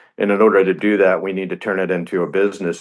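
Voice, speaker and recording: A man speaks in a monotone with flat intonation and a fairly low pitch. The background is quiet. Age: 60s. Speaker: racing team co-founder and business executive. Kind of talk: radio interview.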